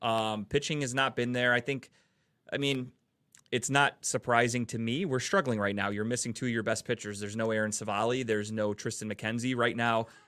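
With an American accent and an unremarkable speaking voice, a man talks at a fairly quick pace and medium pitch, his intonation fairly even, on a very clean recording with a silent background. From Cleveland, Ohio. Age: 30s. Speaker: sports podcast host. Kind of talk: casual chat. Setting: studio.

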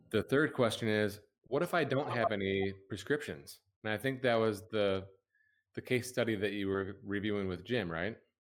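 In a plain, everyday voice, a man talks with a fairly low pitch. He keeps a moderate pace and ordinary pitch variation. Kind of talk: webinar hosting, casual professional. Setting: online webinar, live.

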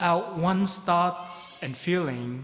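Very slow speech from a man, amid audible room echo and noticeable background noise. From Vietnam (Saigon). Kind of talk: sermon. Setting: church.

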